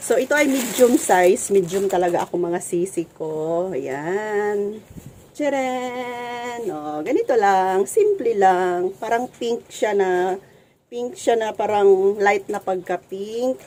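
A dark, mellow tone at a very slow pace, with lively intonation. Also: woman, medium pitch for a woman. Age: 40s. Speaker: vlogger and sari-sari store owner. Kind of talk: casual vlog, unboxing. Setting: at home store, standing. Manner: animated, laughing often.

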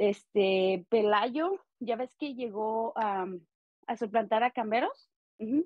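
Fairly high in pitch, a woman speaks at a very slow pace with ordinary pitch variation. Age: 30s. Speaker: podcast co-host. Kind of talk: casual chat. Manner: hesitant, many fillers.

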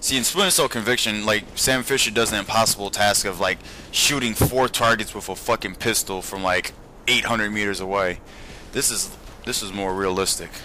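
With noticeable background noise, a man talks at a moderate pace. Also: fairly low pitch for a man, ordinary pitch variation. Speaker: video game commentator. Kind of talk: casual let's-play commentary over gameplay. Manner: excitable, profane, blurting reactions like oh shit mid-sentence; rambling, filler-heavy, loses train of thought.

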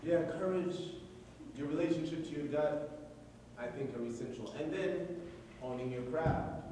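A man with a fairly high voice speaks at a moderate pace. Strong room echo and light background noise fill the recording. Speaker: poet. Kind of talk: live commentary to an audience. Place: hall. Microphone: camera far.

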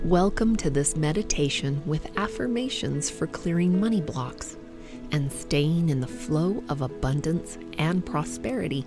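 Music plays in the background. The speech moves at a fairly slow pace with hardly any pauses. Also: woman. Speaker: hypnotherapist. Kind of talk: sleep hypnosis meditation. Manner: slow, soft-spoken.

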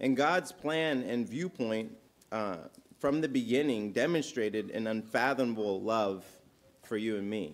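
This man's voice sits at a medium pitch with lively intonation. He speaks at a fairly slow pace. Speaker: communion leader; speaker. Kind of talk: fervent prayer. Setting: church. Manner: earnest, impassioned, pleading. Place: church. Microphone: podium.

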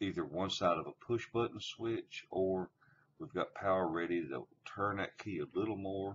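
An unremarkable speaking voice from a man, fairly low in pitch and fairly slow, with light background noise. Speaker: tractor. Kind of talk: tutorial.

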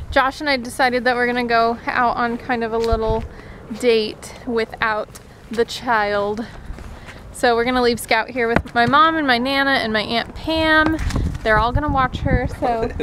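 A woman with a high pitch, fairly even intonation and moderate pace amid noticeable background noise. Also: dry sound with no echo. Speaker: vlogger. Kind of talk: casual vlog chat. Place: street. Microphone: phone near.

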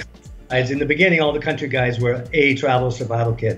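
Over faint background music, a man with an American accent talks at a very fast pace with fairly even intonation. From United States (California, Washington DC). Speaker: travel writer. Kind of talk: interview answer. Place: home room. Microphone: video call.

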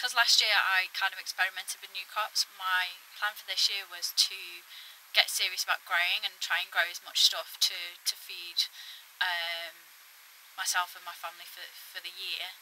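Light background noise sits behind a woman whose bright, sharp tone holds a monotone, flat intonation. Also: moderate pace. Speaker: allotment vlogger. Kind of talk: casual vlog chat. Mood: reflective, a bit frustrated. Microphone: phone near.

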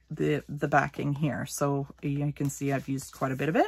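The woman talks at a moderate pace, with a dry sound and no echo. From Canada. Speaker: craft YouTuber. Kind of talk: craft tutorial. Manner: casual with many fillers. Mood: warm, cheerful.

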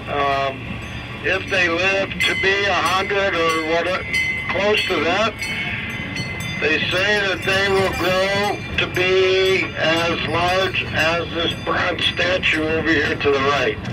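A man at a very slow pace amid loud background noise. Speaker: zoo train guide. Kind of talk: tour guide commentary. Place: train.

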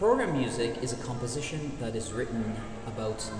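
A man at a moderate pace with ordinary pitch variation, audible room echo and clear music in the background. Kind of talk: explanatory answer to viewer questions. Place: hall. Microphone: phone near.

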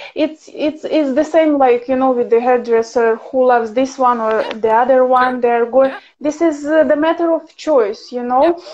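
A woman with a Ukrainian accent speaks at high pitch with very even loudness and hardly any pauses. Light background noise sits behind her. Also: ordinary pitch variation, moderate pace. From Ukraine. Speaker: professional violinist and teacher; interviewer, guest. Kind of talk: casual livestream interview. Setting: video call livestream. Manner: animated, laughs often. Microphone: video call.

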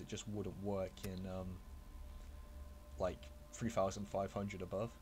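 The man's voice sits fairly low. Behind him, music plays. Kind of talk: casual gaming commentary. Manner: quiet; hesitant, casual.

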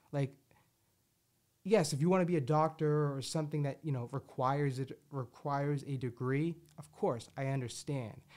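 A man speaks at a moderate pace with a South Jersey accent over a quiet background. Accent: South Jersey American. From southern New Jersey, US. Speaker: podcast host. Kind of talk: casual chat. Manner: animated, rambling. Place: studio. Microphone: studio mic.

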